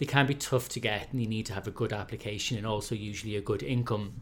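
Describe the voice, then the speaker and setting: A man with an Irish accent, fairly low in pitch with ordinary variation, at a fairly quick pace. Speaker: head of communications, prospective homebuyer. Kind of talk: casual chat.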